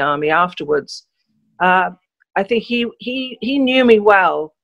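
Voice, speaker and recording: The speaker has a southern English accent and ordinary pitch variation. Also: woman. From England, London. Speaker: journalist. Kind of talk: interview. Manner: hesitant fillers.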